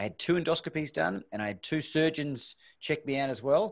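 Over a quiet background, a man talks fairly quickly at a fairly high pitch with very wide pitch swings. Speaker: podcast host. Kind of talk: casual interview. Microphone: studio mic.

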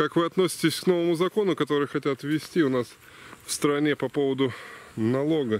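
A man speaks at a moderate pace. The sound is dry, with no echo. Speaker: mushroom-hunting vlogger. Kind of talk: casual vlog chat. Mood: cheerful, excited. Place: forest. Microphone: phone near.

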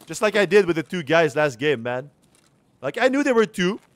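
A man with a high pitch talks at a moderate pace through very wide pitch swings, the sound dry with no echo. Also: long, frequent pauses. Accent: strong French. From Quebec, Canada. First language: French. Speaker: video game streamer. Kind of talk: live gameplay commentary. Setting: livestream. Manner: casual, chatty. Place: home room.

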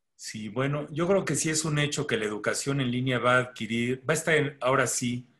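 Against a quiet background, a man with a Mexican accent speaks at a moderate pace in a bright, sharp tone. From Mexico. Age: 60s. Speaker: pediatrician and medical educator; medical educator. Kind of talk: webinar lecture. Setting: video call. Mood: relaxed, conversational. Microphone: video call.

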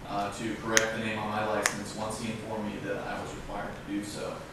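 A man talks at a fairly quick pace. Noticeable background noise and strong room echo fill the recording. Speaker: defendant. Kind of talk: courtroom statement. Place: hall. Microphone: camera far.

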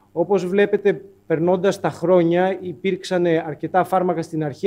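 A man's high-pitched voice with fairly even intonation at a moderate pace. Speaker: presenter. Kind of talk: lecture. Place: hall. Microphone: podium.

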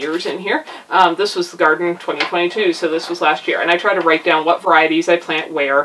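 Noticeable background noise under fairly quick talk with fairly even intonation. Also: woman. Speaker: homesteading video creator. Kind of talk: tutorial. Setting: indoors at home. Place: home room. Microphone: camera far.

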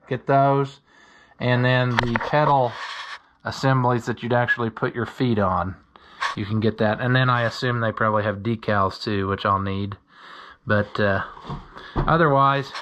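Against noticeable background noise, a man speaks with ordinary pitch variation and long, frequent pauses. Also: moderate pace. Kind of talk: casual workshop commentary. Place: home room.

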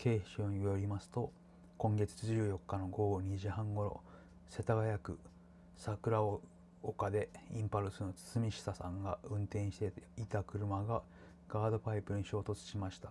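Over light background noise, a man speaks at a fairly slow pace in a somewhat breathy voice. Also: fairly low pitch for a man, fairly even intonation. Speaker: home vlogger. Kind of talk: casual news commentary. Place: home room. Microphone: webcam.

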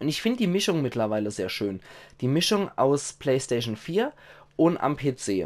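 Here is a man with a medium pitch. He talks at a moderate pace with lively intonation. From Germany. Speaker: gaming video creator. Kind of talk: casual monologue to viewers. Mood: cheerful, grateful. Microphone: headset.

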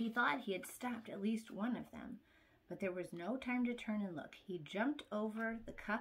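The voice reads naturally. Pitch shifts in an ordinary way.

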